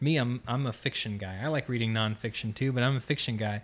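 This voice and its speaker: A man with an American accent has a plain, everyday voice at a medium pitch. He talks at a fairly quick pace with fairly even intonation, in a very clean recording with a silent background. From Florida, near Orlando. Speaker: musician in residence. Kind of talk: interview.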